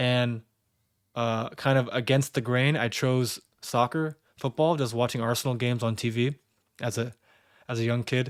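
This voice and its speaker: Pausing long and often, a man speaks at medium pitch in monotone, flat intonation, with a dry, close sound with no echo and a very clean recording over a silent background. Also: moderate pace. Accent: American. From California, US. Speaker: football performance coach. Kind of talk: personal story monologue. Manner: halting with repetitions.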